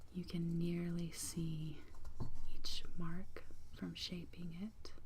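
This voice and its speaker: The speaker is soft-spoken. The pace is very slow. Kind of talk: ASMR soft-spoken storytelling.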